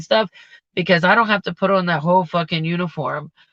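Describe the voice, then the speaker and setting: Loud and fairly quick, a woman speaks in a fairly low pitch with a bright, sharp tone. The background is quiet. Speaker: vlogger and restaurant server. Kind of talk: casual livestream chat. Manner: casual, rambling with fillers.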